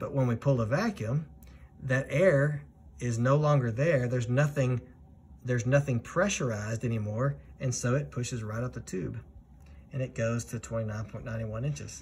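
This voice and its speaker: Somewhat breathy, a man talks at a moderate pace with ordinary pitch variation over light background noise. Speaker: flight instructor. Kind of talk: tutorial.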